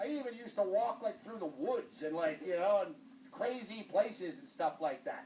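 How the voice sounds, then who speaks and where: A man's high-pitched voice at a moderate pace, lively in intonation, over noticeable background noise. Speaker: TV talk show host. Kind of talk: casual chat. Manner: loud; animated.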